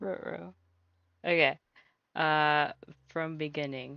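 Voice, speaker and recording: Someone speaks in an American accent with music in the background. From US Midwest. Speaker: vtuber streamer. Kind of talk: live stream chat. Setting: live stream. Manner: halting.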